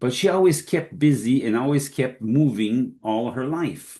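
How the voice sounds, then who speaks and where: Against a quiet background, a man talks at a medium pitch with a dark, mellow tone and ordinary pitch variation. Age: 70s. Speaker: health industry expert. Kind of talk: podcast Q&A interview.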